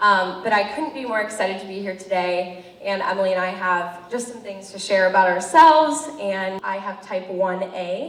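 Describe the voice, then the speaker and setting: Amid noticeable background noise and audible room echo, a woman with an American accent talks at a moderate pace and medium pitch. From US Midwest, Cleveland, Ohio. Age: 20s. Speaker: college student and patient advocate. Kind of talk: public speech. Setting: event with audience, microphone. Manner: loud.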